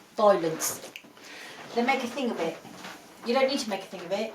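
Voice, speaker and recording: Over noticeable background noise and audible room echo, a woman speaks in a high voice with an English accent. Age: 50s. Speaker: podcast co-host. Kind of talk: casual chat.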